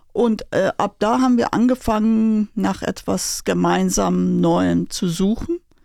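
A woman speaks very slowly yet with hardly any pauses on a very clean recording with a silent background. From Iran, Tehran. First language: Persian (speaking German). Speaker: Iranian emigrant, former pharma professional. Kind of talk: interview. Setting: studio.

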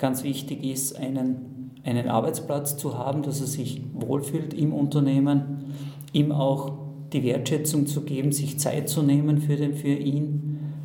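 Amid noticeable background noise and audible room echo, a man with a fairly high pitch talks at a fairly slow pace in a monotone, flat intonation. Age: 50s. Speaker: manager. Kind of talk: interview. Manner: halting.

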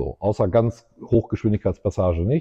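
A somewhat breathy man with fairly low pitch, ordinary pitch variation and a fairly quick pace. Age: 50s. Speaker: entrepreneur and race track co-founder. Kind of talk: casual interview.

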